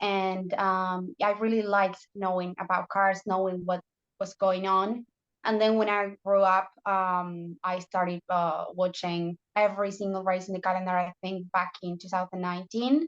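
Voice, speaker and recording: A woman with a Spanish accent speaks in a monotone, flat way at a moderate pace, with a dry, close sound and no echo. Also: medium pitch for a woman. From Argentina. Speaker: motorsport journalist. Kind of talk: casual interview chat. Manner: halting.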